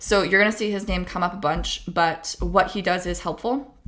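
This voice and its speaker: Her bright, sharp tone sits at a medium pitch, with vocal fry. The woman speaks at a moderate pace. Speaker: debate coach / educational youtuber. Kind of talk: tutorial. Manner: casual, chatty.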